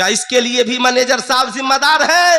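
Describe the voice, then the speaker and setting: A man's raised, projected voice sits at an extremely high pitch. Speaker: Islamic scholar (mufti). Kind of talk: Islamic sermon (bayan) at a madrasa annual event. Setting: public address at a large gathering. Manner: forceful, rhetorical, questioning the audience.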